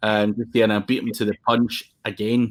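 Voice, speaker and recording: A man's medium-pitched voice in a Scottish accent, moderate in pace, on a very clean recording with a silent background. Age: 40s. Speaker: SEO agency owner. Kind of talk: casual interview chat. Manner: casual, sweary.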